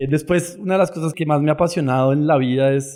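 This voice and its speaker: A man with a dark, mellow tone at a very fast pace. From Colombia. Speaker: startup founder. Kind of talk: podcast interview.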